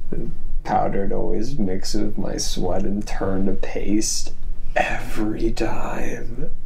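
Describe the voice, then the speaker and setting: A whisper at a very slow pace. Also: man. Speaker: actor in a drama scene. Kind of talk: scripted drama dialogue, confessional monologue. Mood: nervous, self-conscious confession. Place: home room.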